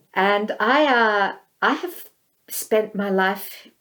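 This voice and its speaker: A woman with an Australian accent speaks at a medium pitch with ordinary pitch variation. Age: 60s. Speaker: visual artist and filmmaker. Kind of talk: interview.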